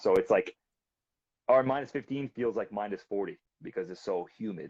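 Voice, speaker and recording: Heard in a dry, close sound with no echo, a man speaks at a moderate pace. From Canada, Quebec and British Columbia. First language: French. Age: 30s. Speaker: balisong flipper. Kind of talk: casual interview chat. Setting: live video stream.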